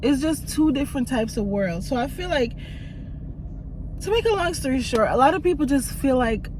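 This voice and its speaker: A woman talks fairly quickly at a high pitch with very wide pitch swings and long, frequent pauses. Audible room echo and noticeable background noise surround her. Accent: slight Jamaican. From Jamaica, moved to US very young. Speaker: YouTuber. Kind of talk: casual vlog chat.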